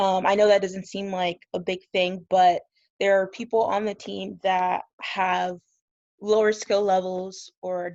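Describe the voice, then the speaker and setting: In a medium pitch, a woman speaks very slowly with monotone, flat intonation. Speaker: student athlete. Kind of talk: testimony. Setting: video call.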